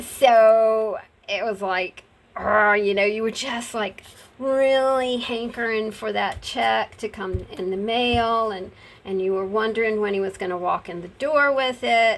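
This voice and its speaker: A fairly slow delivery from a woman in an ordinary speaking voice, her pitch varying normally. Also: fairly high pitch for a woman. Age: 60s. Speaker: crafter and video creator. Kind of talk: casual craft tutorial chat. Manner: relaxed, chatty.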